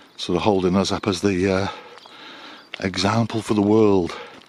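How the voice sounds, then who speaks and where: Through noticeable background noise comes a man's relaxed tone, fairly low in pitch, with monotone, flat intonation at a moderate pace. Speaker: small business owner and vlogger. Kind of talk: casual vlog monologue. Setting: outdoors on a dog walk. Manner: relaxed with frequent hesitations.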